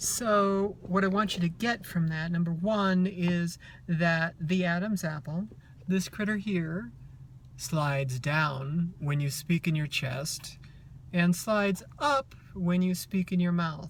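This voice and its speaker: Somewhat breathy, a woman speaks at a very slow pace with a fairly low pitch. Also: ordinary pitch variation. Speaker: transgender woman giving voice tips. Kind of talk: casual voice tutorial to camera.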